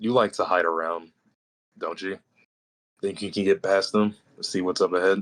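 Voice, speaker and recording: Putting on a raspy character voice, a man speaks at a fairly low pitch and moderate pace in monotone, flat intonation with long, frequent pauses. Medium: actual play. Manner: dry, sardonic.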